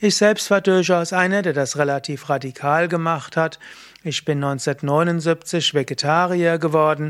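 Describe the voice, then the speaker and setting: A man talks with an unremarkable speaking voice. His pitch is fairly high, with ordinary pitch variation. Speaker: yoga teacher. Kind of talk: tutorial. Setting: video recording.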